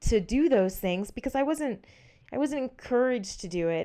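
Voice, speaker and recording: With an American accent, a woman speaks at a moderate pace using lively intonation. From Southeast Texas. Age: 30s. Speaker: professional mountain biker. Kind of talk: casual interview. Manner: energetic.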